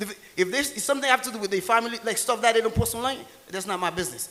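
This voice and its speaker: A man with a Haitian accent, high-pitched and animated, at a very fast pace. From rural Haiti. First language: Haitian Creole. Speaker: tax and real estate entrepreneur. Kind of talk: motivational seminar talk. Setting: stage with audience.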